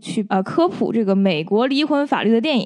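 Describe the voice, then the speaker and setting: A woman with a Beijing accent, fairly high-pitched and lively in intonation, at a moderate pace. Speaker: film-trained guest reviewer. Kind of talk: casual film review chat.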